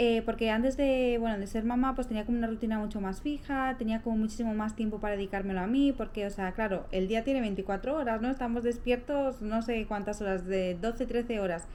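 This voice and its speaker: A soft-spoken woman with a fairly high pitch, a fairly quick pace, hardly any pauses and fairly even intonation, over noticeable background noise. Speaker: lifestyle vlogger. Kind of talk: casual vlog talk to camera. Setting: at home. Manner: soft-spoken, speaking quietly.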